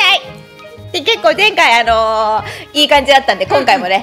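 A woman's raised, projected voice at a high pitch and moderate pace, with very wide pitch swings, big swings in loudness and faint music in the background. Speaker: voice actor. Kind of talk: casual game commentary. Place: studio.

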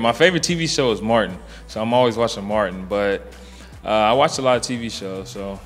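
Faint music plays in the background while a man talks at a moderate pace. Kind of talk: interview answer. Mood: relaxed, casual. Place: bar. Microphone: handheld.

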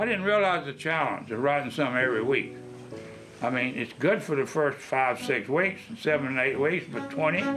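A man speaks at a moderate pace with ordinary pitch variation, clear music playing in the background. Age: 80s+. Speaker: local historian. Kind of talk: interview answer. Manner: warm, frank. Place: home room.

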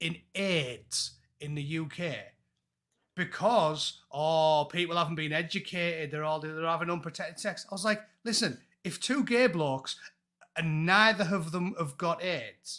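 In an English accent, a man with a high pitch and a bright, sharp tone talks at a fairly slow pace over a quiet background. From England. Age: 40s. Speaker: former Royal Marine and YouTuber; YouTuber. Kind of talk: casual chat. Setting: video call. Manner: animated. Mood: exasperated, opinionated. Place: home room. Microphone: earbuds.

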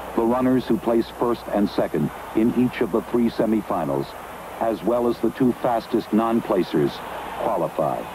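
Lively intonation rides over very even loudness, with noticeable background noise behind the voice. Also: man, medium pitch for a man. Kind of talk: 1970s sports broadcast commentary. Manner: rapid, crisp, formal play-by-play, rising urgency through the race.

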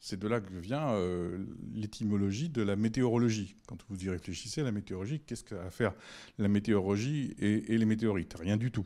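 Against a quiet background, a dark, mellow voice goes at a fairly quick pace with ordinary pitch variation. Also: man, fairly low pitch for a man. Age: 60s. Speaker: physics professor. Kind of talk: public lecture. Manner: halting, many hesitations. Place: hall. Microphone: handheld.

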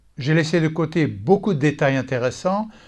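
Over a quiet background comes a normal speaking voice with ordinary pitch variation. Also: man. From Texas. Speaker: Bible teacher. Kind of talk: scripted teaching talk.

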